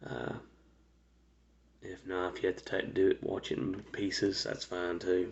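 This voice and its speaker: A quiet man speaks at a moderate pace with long, frequent pauses. His loudness swings widely. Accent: American. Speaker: vlogger telling life story. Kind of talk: personal storytelling monologue. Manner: quiet, speaking low; halting, many fillers.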